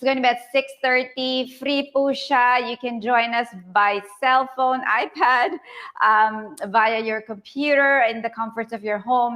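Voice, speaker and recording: A woman speaks with a Filipino accent. Her fairly high voice keeps a fairly even intonation. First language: Tagalog. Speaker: live show host. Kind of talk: live webinar hosting.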